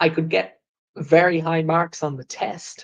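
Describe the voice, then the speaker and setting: With an Irish accent, a man talks at a fairly slow pace in a high pitch. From Ireland. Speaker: English teacher. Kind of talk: live English lesson podcast. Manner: slow, clear teacher style.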